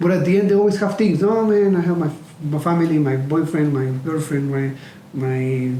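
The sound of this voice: Audible room echo around a man's fairly high voice, dark and mellow in tone, at a fairly quick pace with ordinary pitch variation.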